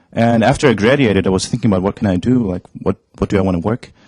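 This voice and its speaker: In a German accent, a man talks at a fairly quick pace with a fairly low pitch and ordinary pitch variation. The sound is dry and close with no echo, on a very clean recording with a silent background. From Germany. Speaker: esports company staff and translator. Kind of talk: interview. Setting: studio. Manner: hesitant, with fillers.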